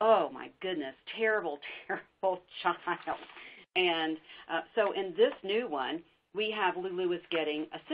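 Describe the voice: Simple, plain reading aloud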